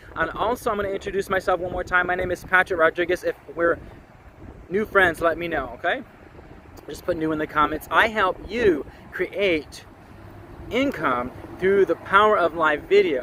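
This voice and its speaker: A man speaks loudly at a high pitch, leaving long, frequent pauses. Noticeable background noise is present. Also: ordinary pitch variation, moderate pace. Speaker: online marketing coach. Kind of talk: live stream talk. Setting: outdoors at the beach. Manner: animated.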